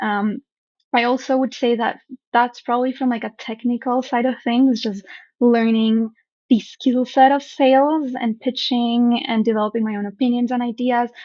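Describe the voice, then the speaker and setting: This woman has a Spanish accent and a high pitch. She talks at a moderate pace with monotone, flat intonation. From Colombia. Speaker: startup founder. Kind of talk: interview.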